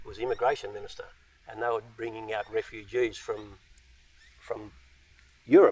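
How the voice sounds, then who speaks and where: The speaker has an Australian accent and keeps a moderate pace. Long, frequent pauses break up the speech, and the loudness swings widely. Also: man. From Australia, Central West New South Wales. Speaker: post-war migrant telling his life story. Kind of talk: interview, personal life story. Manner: hesitant, many fillers.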